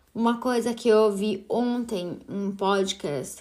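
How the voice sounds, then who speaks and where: A voice with a slight Italian accent. Its pitch varies in an ordinary way. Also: woman. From Italy. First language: Italian (speaking Portuguese). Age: 30s. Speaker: podcast host. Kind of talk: solo podcast monologue.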